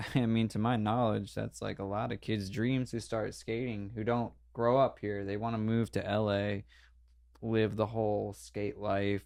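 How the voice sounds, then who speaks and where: Against a quiet background, a man with a normal speaking voice and an American accent talks at a moderate pace, his pitch fairly low and his intonation fairly even. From New Jersey (Denville). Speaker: pro skateboarder. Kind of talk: casual podcast interview.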